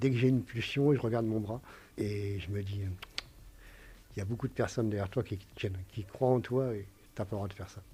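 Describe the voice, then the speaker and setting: With long, frequent pauses, a man talks in a fairly low pitch, his tone dark and mellow, his intonation fairly even and his voice somewhat breathy. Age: 50s. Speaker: recovering alcoholic patient. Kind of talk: testimony. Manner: halting.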